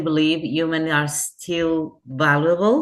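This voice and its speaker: With a Portuguese accent, a woman speaks at a very slow pace in a very deep, low pitch with fairly even intonation. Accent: Portuguese accent when speaking English. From Portugal. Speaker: hotel customer service executive. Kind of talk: interview. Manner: halting, with fillers and restarts.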